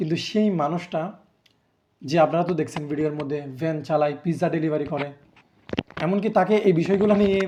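In a plain, everyday voice, a man talks at a fairly high pitch with fairly even intonation. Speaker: YouTuber commenting on politics. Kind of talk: commentary monologue to camera.

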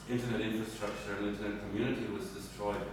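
A man with a fairly low voice is heard in strong room echo against noticeable background noise. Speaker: speaker. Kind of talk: spontaneous talk to audience. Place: hall. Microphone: camera far.

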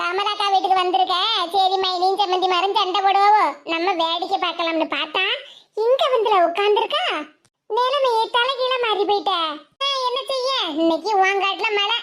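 At a moderate pace, a woman performs a cartoonish character voice at an extremely high pitch with ordinary pitch variation. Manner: sarcastic, scornful.

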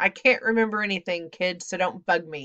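A female-sounding voice puts on a gruff character voice at a middle pitch. The pace is fairly quick. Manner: crabby, gruff, barking.

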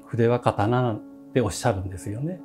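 Faint music plays in the background. A man talks over it at a moderate pace. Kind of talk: interview answer. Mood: calm, warm. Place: home room. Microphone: lapel.

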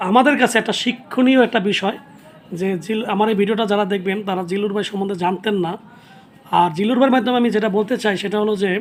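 Noticeable background noise behind speech with fairly even intonation. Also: man, high pitch for a man. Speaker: video host, actor. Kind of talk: casual interview.

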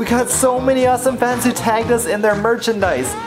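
Clear music plays in the background. Over it, a man talks at a fairly quick pace. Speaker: vlogger. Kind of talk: casual vlog chat. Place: home room. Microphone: phone near.

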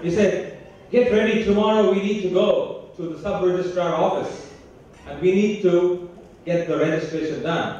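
Strong room echo and light background noise around a man at high pitch, fairly slow, with ordinary pitch variation. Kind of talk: inaugural speech with storytelling. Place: stage.

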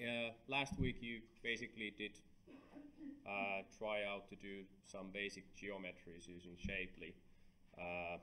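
Against light background noise, a man speaks fairly slowly at a fairly low pitch, his tone bright and sharp. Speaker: university lecturer. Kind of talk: lecture.

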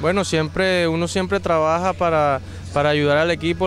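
At a moderate pace, a man speaks in a dry sound with no echo while faint music plays in the background. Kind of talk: interview answer. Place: stadium. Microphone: handheld.

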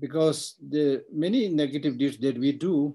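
A man speaks with a dark, mellow tone. The background is quiet. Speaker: Buddhist teacher. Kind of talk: lecture. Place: office. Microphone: webcam.

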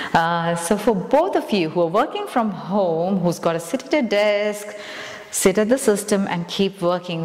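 A woman speaks at a fairly slow pace with ordinary pitch variation, and audible room echo surrounds her voice. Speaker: yoga instructor. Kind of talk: guided exercise class. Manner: upbeat, encouraging. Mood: calm, encouraging. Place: empty room. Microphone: lapel.

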